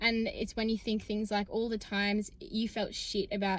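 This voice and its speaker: With an Australian accent, a woman speaks at a fairly high pitch in a flat monotone. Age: 20s. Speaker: student athlete and vlogger. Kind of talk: casual vlog talk to camera. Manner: fast, chatty.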